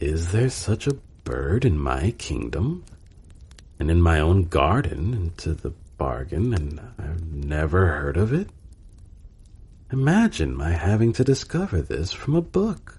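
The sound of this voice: In a put-on character voice with a slightly mellow tone, the speaker moves at a fairly slow pace through big pitch swings. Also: man, low pitch for a man.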